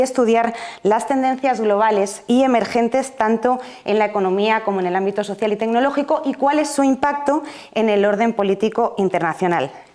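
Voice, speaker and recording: A woman keeps a moderate pace as noticeable noise sounds behind her. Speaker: event moderator. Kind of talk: event introduction.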